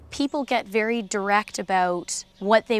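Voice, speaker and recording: On a very clean recording with a silent background, a woman talks at medium pitch with ordinary pitch variation in an unremarkable speaking voice. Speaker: horse trainer.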